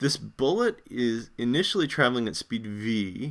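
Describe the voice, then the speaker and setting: Very wide pitch swings run through this man's medium-pitched voice. The recording is very clean, with a silent background. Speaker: physics instructor. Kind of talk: lecture. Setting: live stream.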